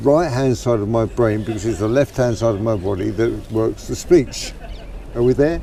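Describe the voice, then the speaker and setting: Pitch varies in an ordinary way at a moderate pace. Underneath, background noise is noticeable. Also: man, medium pitch for a man. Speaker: man with Parkinson's discussing his condition. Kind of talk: casual chat. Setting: outdoors in a park. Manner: halting with repetitions.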